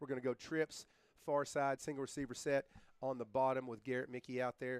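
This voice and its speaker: A man with a Tennessee accent at medium pitch and a fairly quick pace, dry and close with no echo. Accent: Tennessee twang. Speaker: sports play-by-play announcer and coach. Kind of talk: live commentary. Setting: stadium broadcast booth. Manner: animated.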